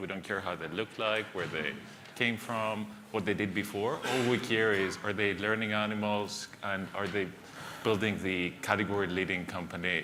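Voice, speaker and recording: A man with a Greek accent speaks at a moderate pace and a fairly low pitch. Noticeable background noise and audible room echo fill the recording. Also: fairly even intonation. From Greece and the UK. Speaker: venture capitalist. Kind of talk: panel discussion.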